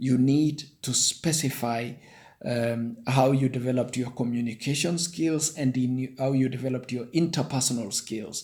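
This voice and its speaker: With a Kenyan accent, a man speaks at medium pitch and a moderate pace, his intonation fairly even. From Kenya, Nandi-speaking. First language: Nandi. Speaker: online career tutorial maker. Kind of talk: tutorial. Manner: halting.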